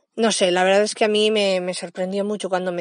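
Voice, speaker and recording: A woman at a medium pitch over a quiet background. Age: 30s. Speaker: podcast host, mother and early childhood educator. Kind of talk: personal podcast monologue. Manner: halting, with frequent repetitions and fillers.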